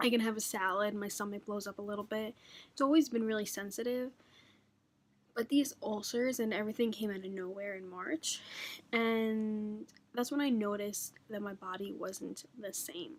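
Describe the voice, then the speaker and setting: At a moderate pace, a woman with a fairly high pitch speaks with ordinary pitch variation. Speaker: beauty and lifestyle vlogger. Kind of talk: casual chat. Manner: halting.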